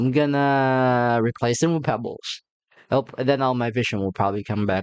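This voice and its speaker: Speaking fairly slowly with a non-native accent, a man keeps a medium pitch with ordinary pitch variation. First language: not English. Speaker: gaming youtuber. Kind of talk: let's play commentary. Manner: halting.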